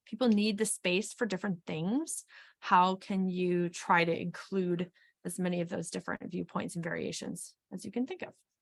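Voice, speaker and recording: A woman with an American accent speaks at a moderate pace and a medium pitch. Her intonation is fairly even and her voice somewhat breathy. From Wisconsin. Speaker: HR consultant and webinar presenter. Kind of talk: webinar presentation. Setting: webinar.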